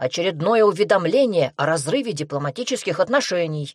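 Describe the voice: This recording is plain reading aloud.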